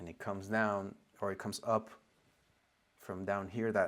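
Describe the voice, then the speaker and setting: At a fairly low pitch, a man talks in monotone, flat intonation. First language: not English. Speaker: spiritual teacher. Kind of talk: lecture. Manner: halting.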